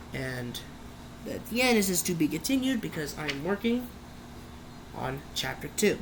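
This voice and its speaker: A woman speaks loudly at a moderate pace, her pitch fairly low, with very wide pitch swings. Long pauses come often, over noticeable background noise. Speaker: youtuber. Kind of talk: casual vlog talk. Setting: bedroom.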